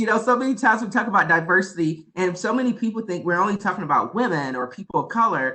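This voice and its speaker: The voice is raised and projected, bright and sharp in tone, animated, with lively intonation at a very fast pace. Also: man. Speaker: diversity and inclusion leader, speaker. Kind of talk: presentation to students.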